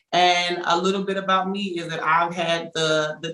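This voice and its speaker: A woman's fairly low voice with an American accent, monotone and flat in intonation, over noticeable background noise. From Texarkana, Texas. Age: 20s. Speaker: panelist. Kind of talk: panel discussion.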